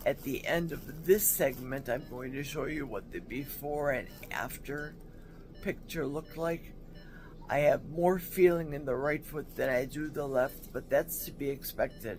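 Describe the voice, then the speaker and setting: Music plays behind a woman whose pitch is very deep and low, with fairly even intonation. She talks at a fairly slow pace, and her loudness swings widely. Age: 60s. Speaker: hip replacement patient. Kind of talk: casual talk to camera. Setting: hospital room.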